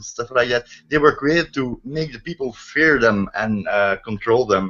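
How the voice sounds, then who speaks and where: Here a man speaks with a Dutch accent. His pitch varies in an ordinary way. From Netherlands. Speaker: online discussion host. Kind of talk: casual discussion. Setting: video call. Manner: halting, many fillers.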